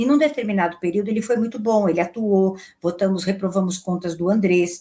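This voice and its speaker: A woman talks at a fairly quick pace in a somewhat breathy voice of medium pitch, with ordinary pitch variation and a quiet background. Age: 60s. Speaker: football club board member and lawyer. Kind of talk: interview.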